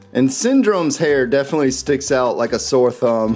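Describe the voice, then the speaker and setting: Amid noticeable background noise, a man with a medium pitch speaks in an enthusiastic tone. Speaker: toy unboxing YouTuber. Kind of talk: toy unboxing commentary. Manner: fast; casual, enthusiastic.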